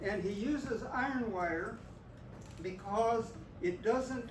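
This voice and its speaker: A high-pitched man with an American accent speaks with ordinary pitch variation, amid noticeable background noise and audible room echo. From US West (Oklahoma, then California). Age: 80s+. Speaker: grandfather teaching a school class. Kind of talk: classroom demonstration. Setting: elementary school classroom.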